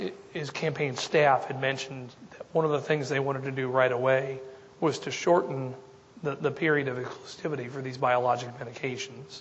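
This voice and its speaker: The voice keeps a fairly even intonation against noticeable background noise. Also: man. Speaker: dermatologist. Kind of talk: lecture. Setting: stage with audience.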